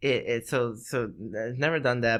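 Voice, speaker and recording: His speech moves at an unhurried, moderate rate. This man's voice lands at a mid-range pitch. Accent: Spanish. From Mexico. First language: Spanish. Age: 30s. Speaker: podcast co-host, military veteran. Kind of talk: casual chat. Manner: halting.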